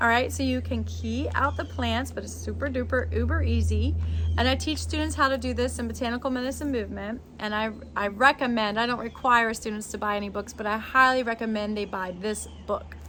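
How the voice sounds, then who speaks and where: Speaking at a fairly quick pace, a woman sounds animated, with audible room echo around her. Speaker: botanist and herbalism teacher. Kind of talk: tutorial.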